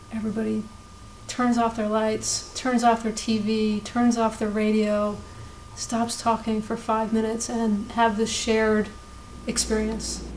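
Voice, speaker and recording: There is noticeable background noise behind this woman's voice. She talks at a fairly slow pace with monotone, flat intonation. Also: fairly high pitch for a woman. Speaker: cast member. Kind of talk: confessional interview.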